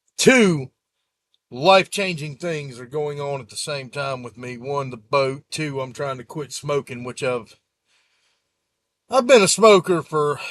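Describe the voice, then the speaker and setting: A man in a Gulf Coast accent at a fairly slow pace, fairly high pitch, ordinary pitch variation, big swings in loudness, and a dry, close sound with no echo. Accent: Southern US (Gulf Coast). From US Gulf Coast (South Mississippi / Florida). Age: 40s. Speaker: YouTuber, sailboat owner. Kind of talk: casual vlog update. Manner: casual, rambling with fillers.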